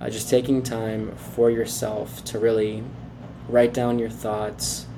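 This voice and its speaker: Noticeable background noise runs through the clip. The speech comes at a fairly slow pace. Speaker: podcaster. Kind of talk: solo podcast monologue, casual. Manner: casual, filler-heavy.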